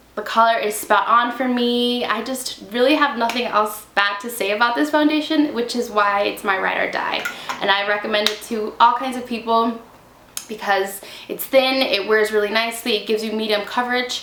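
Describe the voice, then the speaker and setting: A woman speaks with a fairly high pitch. Noticeable background noise and audible room echo fill the recording. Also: fairly even intonation, moderate pace. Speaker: beauty vlogger. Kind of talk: casual product review to camera. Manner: chatty, casual.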